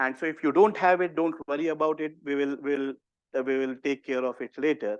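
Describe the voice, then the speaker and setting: A man with an Indian accent talks at a fairly quick pace. His pitch is fairly high, and the background is quiet. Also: ordinary pitch variation. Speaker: university professor and disease modeler. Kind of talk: workshop tutorial. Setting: in-person workshop also streamed on video call.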